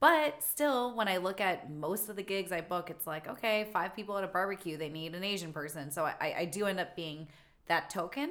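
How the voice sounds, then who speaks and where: In an unremarkable speaking voice of medium pitch, a woman talks at a fairly quick pace with lively intonation. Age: 30s. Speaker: circus performer and actress. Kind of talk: casual interview.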